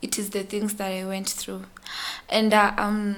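Noticeable background noise fills the recording. Over it, a woman talks in a fairly high pitch. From Kenya, Nairobi. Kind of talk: testimony.

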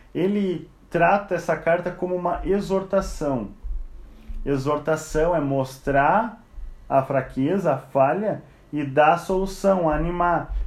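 Very slow male speech, high in pitch, ordinary in its pitch movement, with room echo audible. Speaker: Bible study teacher. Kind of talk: Bible study lecture. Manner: conversational.

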